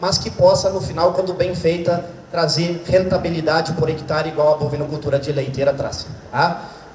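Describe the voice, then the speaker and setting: In a Santa Catarina accent, a man talks at a high pitch. Noticeable background noise and audible room echo surround him. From southern Brazil, Santa Catarina. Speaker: veterinarian and agronomy professor. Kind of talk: lecture. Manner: fast.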